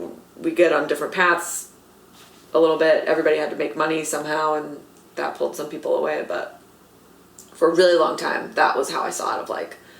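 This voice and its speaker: A woman talks very fast in an animated tone, broken by long, frequent pauses. Room echo is audible. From Los Angeles, US West Coast. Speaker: comedy writer and actor. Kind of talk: casual interview chat. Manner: animated, lots of fillers.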